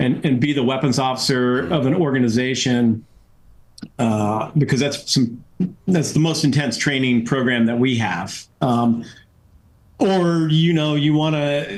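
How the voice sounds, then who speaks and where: An American accent at a fairly slow pace, with very even loudness and audible room echo. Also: man, medium pitch for a man, ordinary pitch variation. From New England, US. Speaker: retired fighter pilot and astronaut. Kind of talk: podcast interview. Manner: casual, many fillers.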